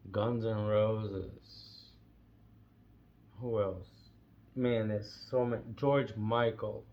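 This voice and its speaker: Pausing long and often, a man speaks at a very slow pace and fairly low pitch in a monotone, flat intonation, with audible room echo. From Brazil. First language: Portuguese. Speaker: vlogger. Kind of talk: casual monologue. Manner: halting.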